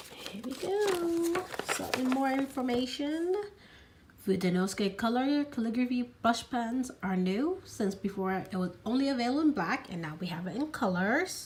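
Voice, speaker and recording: Against noticeable background noise, a high-pitched woman talks at a moderate pace with very wide pitch swings. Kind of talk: casual unboxing talk to camera.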